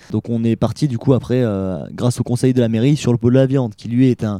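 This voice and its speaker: Dry and close with no echo, a man's medium-pitched voice carries a dark, mellow tone. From Saint-Étienne area, France. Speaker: student festival organizer. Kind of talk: radio interview. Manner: hesitant, many fillers.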